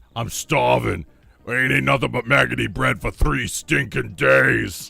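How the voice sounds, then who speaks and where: This is a put-on character voice with a raspy edge. The pace is moderate. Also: man, very deep, low pitch for a man. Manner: gruff, complaining.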